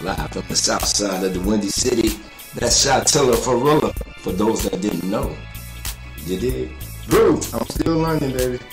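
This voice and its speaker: With clear music playing in the background, a man speaks at a moderate pace, leaving long, frequent pauses. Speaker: radio DJ host. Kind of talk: casual live radio banter. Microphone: studio mic.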